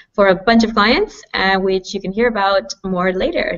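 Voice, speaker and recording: At a moderate pace, a woman with a Canadian accent speaks in a medium pitch with fairly even intonation. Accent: Canadian, noticeable. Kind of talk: panel Q&A on video call. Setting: video call.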